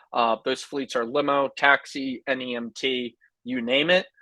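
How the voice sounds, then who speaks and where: In a quiet, dry and close recording with no echo, a man at medium pitch has an ordinary speaking voice with ordinary pitch variation. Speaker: software sales representative. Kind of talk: sales pitch.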